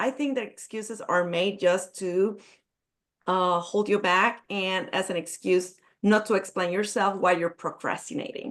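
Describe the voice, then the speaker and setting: A woman with a Spanish accent talks at a fairly slow pace. Her pitch is medium with ordinary variation, and the background is quiet. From Puerto Rico. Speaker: business coach. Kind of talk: networking event self-introduction. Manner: halting.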